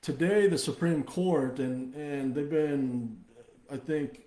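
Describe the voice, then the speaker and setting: The speaker is male. His voice carries a dark, mellow tone. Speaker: company executive hosting livestream. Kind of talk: live stream update. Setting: Facebook live video stream. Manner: hesitant, many fillers.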